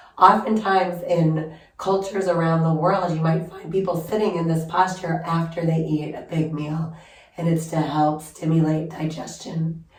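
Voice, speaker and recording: With noticeable background noise and audible room echo, a woman speaks at a moderate pace in a fairly low pitch with monotone, flat intonation. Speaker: yoga instructor. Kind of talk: guided yoga class instruction. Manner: calm, gentle.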